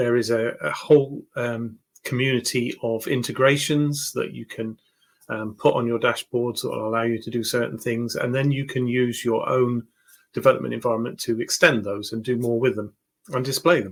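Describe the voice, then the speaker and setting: Using a British accent, a man speaks at a moderate pace and medium pitch with fairly even intonation. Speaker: tech YouTuber. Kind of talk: home tour tutorial. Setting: home. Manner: hesitant, many fillers.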